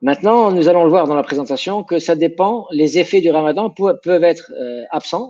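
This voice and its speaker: This man's voice is high and has a dark, mellow tone. He speaks at a fairly slow pace with ordinary pitch variation. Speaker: sports science professor. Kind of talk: interview. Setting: video call. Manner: halting.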